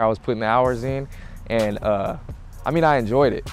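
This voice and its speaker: A man with an American accent talks at a fairly quick pace while music plays in the background. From Tacoma, Washington. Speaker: professional basketball player. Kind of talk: interview.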